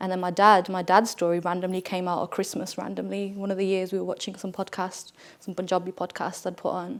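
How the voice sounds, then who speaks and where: Against a silent background on a very clean recording, a woman with a medium-pitched voice speaks very fast. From West Midlands, Wolverhampton. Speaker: podcast guest. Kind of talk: casual chat. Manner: animated.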